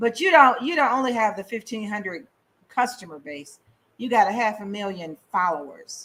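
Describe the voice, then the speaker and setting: A woman's bright, sharp voice at a moderate pace, with very wide pitch swings. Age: 60s. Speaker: radio host. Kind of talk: interview.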